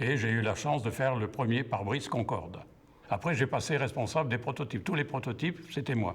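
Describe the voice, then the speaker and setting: A man at a medium pitch, somewhat breathy, with lively intonation and a fairly quick pace. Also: very even loudness. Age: 70s. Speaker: retired glass factory worker. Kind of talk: testimony.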